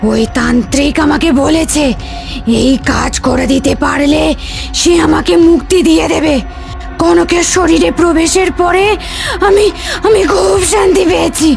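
A raspy, high-pitched cartoonish character voice moves at a fairly slow pace. Clear music plays in the background. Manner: menacing, halting.

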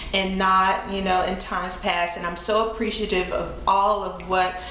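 A woman speaks at a moderate pace in a monotone, flat way. Audible room echo and light background noise are present. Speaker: thrift haul vlogger. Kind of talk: casual vlog chat. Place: home room.

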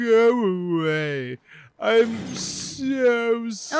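A man puts on a character voice with a high pitch. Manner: mournful, sad.

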